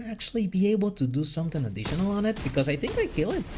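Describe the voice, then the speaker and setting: Music plays in the background. A man with a non-native accent speaks at a high pitch. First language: not English. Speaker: gaming YouTuber. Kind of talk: live gameplay commentary. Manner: halting.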